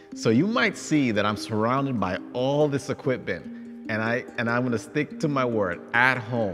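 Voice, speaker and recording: Clear music in the background accompanies a man speaking. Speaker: personal trainer for seniors. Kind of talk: tutorial. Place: gym. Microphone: lapel.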